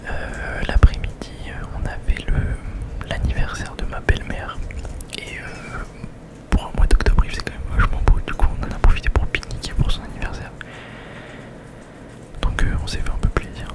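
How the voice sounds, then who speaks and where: A man whispering in a relaxed tone at a moderate pace, with long, frequent pauses, big swings in loudness, and noticeable background noise. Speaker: ASMR vlogger. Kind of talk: casual vlog talk to camera. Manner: relaxed, hesitant, conversational.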